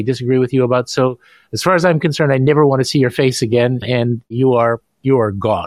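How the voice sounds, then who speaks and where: Recorded very cleanly with a silent background and a dry, close sound with no echo, a man uses a normal speaking voice at a medium pitch, a fairly quick pace and ordinary pitch variation. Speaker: podcast host. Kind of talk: interview.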